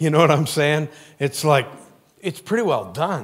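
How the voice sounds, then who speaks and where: Against a quiet background, a man talks at a moderate pace. His tone is animated and his intonation lively. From Maine. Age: 50s. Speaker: pastor. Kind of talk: sermon. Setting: church. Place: church.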